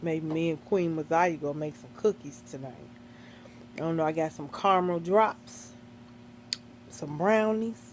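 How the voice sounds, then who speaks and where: A woman with a very deep, low pitch and a relaxed tone speaks at a moderate pace, her intonation lively, her loudness swinging widely, and her pauses long and frequent. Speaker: mukbang vlogger. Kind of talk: casual vlog chat while eating. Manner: relaxed, conversational.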